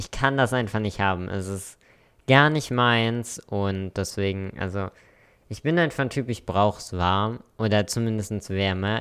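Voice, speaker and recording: Over a very clean recording with a silent background, a man talks at a fairly slow pace in a fairly low pitch with ordinary pitch variation. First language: English and German bilingual (speaking German). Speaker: podcast co-host. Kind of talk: casual chat.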